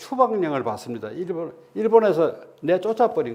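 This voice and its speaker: The pace is fairly slow. The speaker is a man. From Andong, North Gyeongsang, Korea. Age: 80s+. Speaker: guest lecturer, son of independence activist. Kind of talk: lecture. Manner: halting, with repetitions and fillers.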